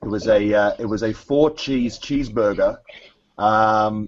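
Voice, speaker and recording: A man with an Australian accent, fairly low pitch and fairly even intonation. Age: 40s. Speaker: competitive eating league executive. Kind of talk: podcast interview.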